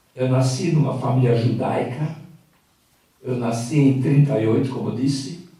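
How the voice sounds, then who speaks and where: A man's medium-pitched voice at a moderate pace, with fairly even intonation, long, frequent pauses, and audible room echo. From Hungary, Budapest. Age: 80s+. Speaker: Holocaust survivor, author. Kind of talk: personal testimony to live audience.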